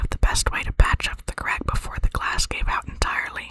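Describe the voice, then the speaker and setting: The speech is whispered at a moderate pace. Background noise is noticeable throughout. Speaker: ASMR creator reading own dream stories. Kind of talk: whispered short story reading. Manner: whispered, soft.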